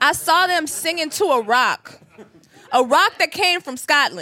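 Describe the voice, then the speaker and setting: A raised, projected voice at a fairly slow pace, with lively intonation. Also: woman. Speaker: podcast host, comedian. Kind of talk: casual chat. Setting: stage with audience.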